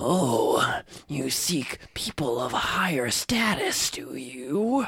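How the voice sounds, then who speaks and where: A man puts on a character voice, speaking at a very slow pace and a fairly high pitch. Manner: haughty, sly.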